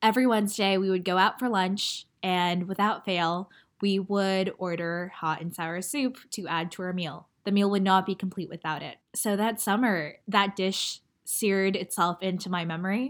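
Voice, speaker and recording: In a very clean recording with a silent background, a woman with an American accent speaks at a moderate pace and medium pitch, her intonation fairly even, in an ordinary speaking voice. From US, Chinese American family. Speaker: podcast host and brand founder. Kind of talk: scripted narration.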